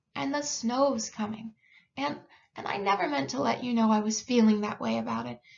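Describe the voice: The passage comes across as plain reading aloud.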